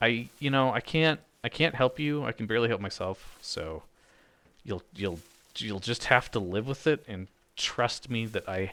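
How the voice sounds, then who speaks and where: A soft-spoken man with a medium pitch, ordinary pitch variation, a bright, sharp tone and a fairly slow pace, in a very clean recording with a silent background. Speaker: gaming video creator. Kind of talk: let's play commentary. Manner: halting.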